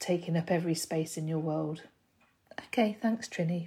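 A woman speaks in a dark, mellow tone. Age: 50s. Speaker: listener. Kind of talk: voice note.

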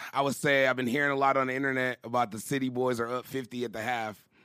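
A bright, sharp tone marks this man's medium-pitched voice, with ordinary pitch variation on a very clean recording with a silent background. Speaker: podcast host. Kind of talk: casual banter, hip-hop podcast chat.

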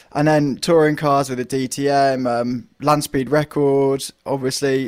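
A man speaks with a British accent. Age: 20s. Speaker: motorsport journalist. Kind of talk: casual chat.

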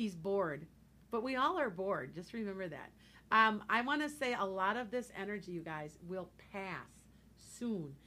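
A woman speaks loudly at a moderate pace. Her bright, sharp voice swings very widely in pitch. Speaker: psychic radio show host. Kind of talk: casual radio chat. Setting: radio studio.

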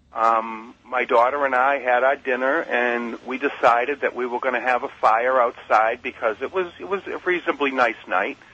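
With an American accent, a man speaks at medium pitch in an ordinary speaking voice. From Massachusetts. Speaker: caller. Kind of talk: testimony. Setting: phone call.

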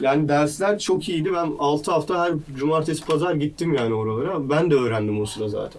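A man speaks at a fairly quick pace with hardly any pauses, his pitch fairly high and its variation ordinary. Noticeable background noise sits behind him. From Istanbul, Turkey (Maltepe, Anatolian side). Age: 20s. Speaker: internet entrepreneur and startup CEO. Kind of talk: casual interview chat.

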